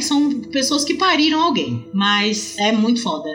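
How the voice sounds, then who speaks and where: A woman at a moderate pace with very wide pitch swings, plus noticeable background noise and audible room echo. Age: 30s. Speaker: mother, podcast guest. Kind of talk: casual chat.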